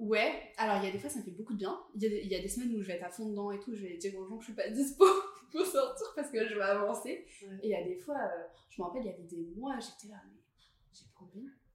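A woman's fairly high voice at a very fast pace, with ordinary pitch variation and big swings in loudness, plus audible room echo and noticeable background noise. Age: 20s. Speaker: podcast guest, creative professional. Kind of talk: casual chat.

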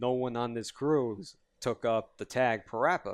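On a very clean recording with a silent background, a man with a New York accent talks at a moderate pace and medium pitch. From Yonkers, New York. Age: 20s. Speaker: fighting game community writer. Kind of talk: casual chat.

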